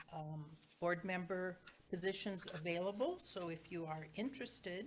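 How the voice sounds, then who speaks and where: With audible room echo, a woman speaks at a moderate pace. Her pitch is fairly low and her intonation fairly even. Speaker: church board trustee giving announcements. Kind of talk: church announcements. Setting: church sanctuary, also streamed on Zoom. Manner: loud.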